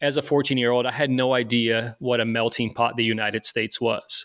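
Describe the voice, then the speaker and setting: In a very clean recording with a silent background and a dry, close sound with no echo, a man at medium pitch speaks monotone and flat at a moderate pace with a Portuguese accent. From Brazil, Rio de Janeiro. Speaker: firefighter. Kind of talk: interview. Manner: halting, many repetitions and fillers.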